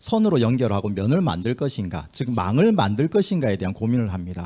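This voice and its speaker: In a very clean recording with a silent background, a man speaks with a Busan accent. His tone is dark and mellow, and his pace is moderate. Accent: Gyeongsang (Busan) intonation. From Busan, South Korea. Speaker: community organization leader, forum presenter. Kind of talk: conference presentation. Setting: forum hall with audience. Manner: filler-heavy, conversational.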